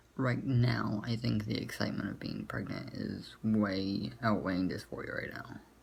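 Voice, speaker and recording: A quiet man speaks at a moderate pace and fairly low pitch, with lively intonation and hardly any pauses. Audible room echo and noticeable background noise are present. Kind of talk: vlog. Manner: speaking a little lower and quieter, others asleep. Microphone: poor camera quality.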